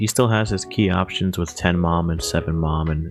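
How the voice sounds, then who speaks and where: Music plays behind a man with a very deep, low voice. He talks at a fairly quick pace with fairly even intonation. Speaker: card game content creator. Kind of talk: deck profile talk to camera.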